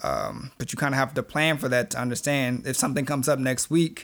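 Through a very clean recording with a silent background, a man speaks at a fairly quick pace and medium pitch, with fairly even intonation and a plain, everyday voice. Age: 20s. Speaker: podcast co-host. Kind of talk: casual chat.

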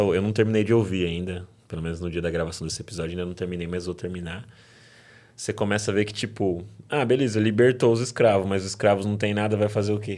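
A man's fairly low voice at a very fast pace. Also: fairly even intonation. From São Paulo state interior, Brazil. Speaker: podcast host. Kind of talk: casual interview. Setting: studio.

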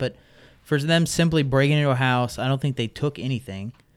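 A man with a plain, everyday voice speaks fairly quickly at a medium pitch, with ordinary pitch variation. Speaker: park ranger. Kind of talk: casual chat.

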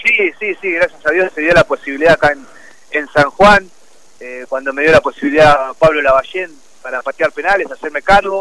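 A man with a fairly high pitch and a bright, sharp tone talks at a fairly quick pace, showing ordinary pitch variation and big swings in loudness, with a dry, close sound and no echo. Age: 30s. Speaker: professional football goalkeeper. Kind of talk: radio interview. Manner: hesitant, many repetitions.

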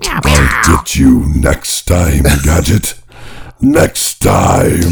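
This is a put-on character voice with a growl. The pace is very slow. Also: man, very deep, low pitch for a man. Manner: menacing, vengeful.

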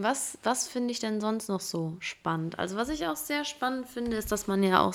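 The recording is very clean, and the background is silent. A woman talks at a moderate pace. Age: 20s. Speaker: podcast host. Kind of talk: casual solo monologue. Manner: casual, with fillers and laughter.

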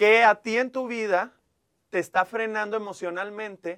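A man's high-pitched voice with ordinary pitch variation, dry and close with no echo. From Mexico, Monclova, Coahuila. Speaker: TV presenter and life coach. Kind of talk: casual interview chat.

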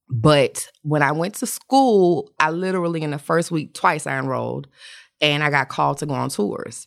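Speaking at a moderate pace, a woman with an American accent is heard in a very clean recording with a silent background. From Atlanta, US South. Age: 40s. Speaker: makeup artist. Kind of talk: casual chat.

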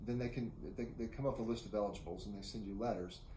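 With an American accent, a man talks at a very fast pace and medium pitch. Noticeable background noise and audible room echo come through. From Oklahoma, US (Enid). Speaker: city manager. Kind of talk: interview. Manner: halting, repeats words.

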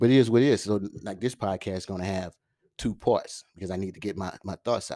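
On a very clean recording with a silent background, a man with a fairly low pitch and a dark, mellow tone talks at a very fast pace, his loudness swinging widely while his intonation stays fairly even. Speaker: podcast host. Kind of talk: casual solo monologue. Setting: solo at microphone. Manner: fast talker; filler-heavy, casual.

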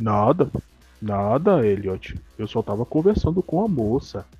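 In a whiny, put-on character voice, a man speaks at a medium pitch and a fairly slow pace. Faint music plays in the background. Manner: sad, whiny.

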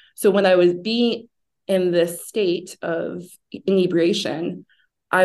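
A woman speaks at a fairly low pitch. Her voice has vocal fry. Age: 30s. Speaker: sober lifestyle advocate and founder. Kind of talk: interview about personal recovery.

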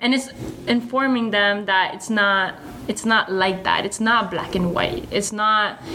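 With noticeable background noise and audible room echo, a woman talks at a medium pitch with ordinary pitch variation. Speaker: podcast host. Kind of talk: casual chat.

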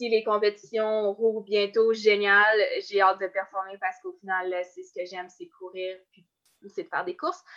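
A woman speaks in a Quebec accent at a medium pitch and a fairly slow pace. Her intonation is fairly even, though her loudness swings widely. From Quebec, Côte-Nord. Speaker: Olympic-level runner. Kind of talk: interview.

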